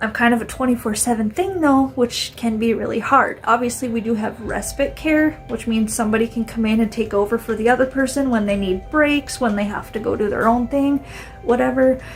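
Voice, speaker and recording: A woman with a fairly high pitch and ordinary pitch variation talks at a fairly quick pace with hardly any pauses, music playing in the background. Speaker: chronic illness video diarist. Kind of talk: casual video diary vent. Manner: casual, halting with fillers.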